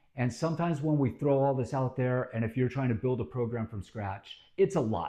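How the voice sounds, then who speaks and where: Against a quiet background, a man's medium-pitched, somewhat breathy voice has a dark, mellow tone and ordinary pitch variation. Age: 50s. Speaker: fitness channel host. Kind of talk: informal fitness talk to camera. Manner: casual with many filler words.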